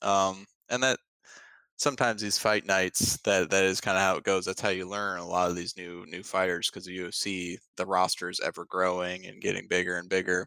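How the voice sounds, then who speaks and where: A man with a Midwestern American accent speaks at a fairly quick pace with a very deep, low pitch, a bright, sharp tone and monotone, flat intonation, the sound dry and close with no echo on a very clean recording with a silent background. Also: big swings in loudness. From Ohio. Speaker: podcast co-host. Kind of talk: casual chat. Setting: home basement.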